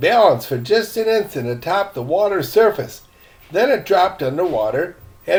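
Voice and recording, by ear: Natural-voiced reading aloud.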